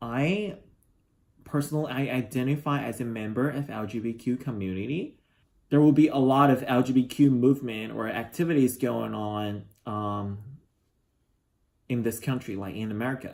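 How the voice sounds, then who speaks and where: With a Chinese accent, a man speaks at a moderate pace and medium pitch, his pitch varying in an ordinary way, broken by long, frequent pauses. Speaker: international student. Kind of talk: interview. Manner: halting.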